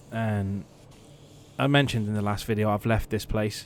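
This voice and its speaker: Speech moves along at a fairly quick clip. Its pitch shifts in an ordinary way. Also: man. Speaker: car paint sprayer. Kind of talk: workshop voice-over tutorial. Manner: casual, conversational.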